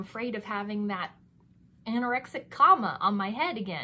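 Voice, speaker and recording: This woman has a bright, sharp tone and a fairly high pitch, speaking at a moderate pace. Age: 30s. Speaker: beauty and lifestyle vlogger. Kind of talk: casual monologue product review. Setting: home recording. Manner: chatty, self-deprecating, laughs often.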